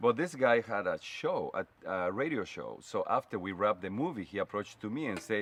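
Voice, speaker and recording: With a Spanish accent, a man talks at a fairly quick pace, his voice dry and close with no echo against a quiet background. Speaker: fashion stylist. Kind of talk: casual chat. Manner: direct.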